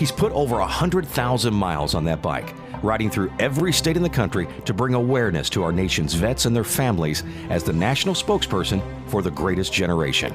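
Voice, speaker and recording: Very fast delivery with very wide pitch swings and very even loudness, music in the background. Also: man, fairly low pitch for a man. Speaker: documentary narrator. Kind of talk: documentary narration.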